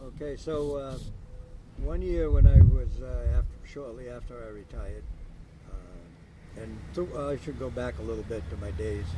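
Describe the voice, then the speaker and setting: Over noticeable background noise and audible room echo, a man with a very deep, low pitch speaks at a moderate pace, his pitch swinging very widely and his loudness rising and falling sharply. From Maine, US. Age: 70s. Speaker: retired car builder and racer. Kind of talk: casual interview. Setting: outdoors.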